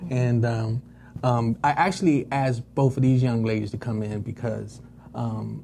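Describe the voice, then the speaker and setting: A man's dark, mellow, somewhat breathy voice at medium pitch, fairly slow pace, with an American accent. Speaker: talk show host. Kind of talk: live talk show. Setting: studio with live audience. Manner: halting.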